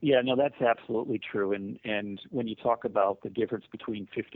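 With an ordinary speaking voice, a man of medium pitch talks at a fairly quick pace with fairly even intonation. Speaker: mental health nonprofit CEO. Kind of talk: interview.

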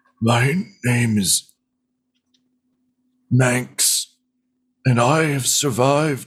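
At a medium pitch, a man performs a put-on character voice. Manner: weary, sorrowful, pleading.

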